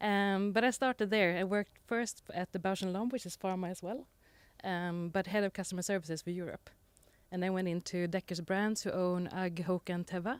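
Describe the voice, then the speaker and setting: A woman with a Swedish accent at a medium pitch and a fairly quick pace, fairly even intonation, dry, close sound with no echo, and a very clean recording with a silent background. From Sweden, Gotland. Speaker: panelist, e-commerce executive. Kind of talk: panel discussion.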